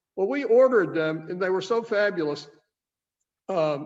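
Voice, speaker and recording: Here a man talks with a Southern accent. His pace is fairly quick, and his pitch varies in an ordinary way. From US South, Nashville, Tennessee. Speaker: wine shop owner hosting tasting. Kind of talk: casual chat.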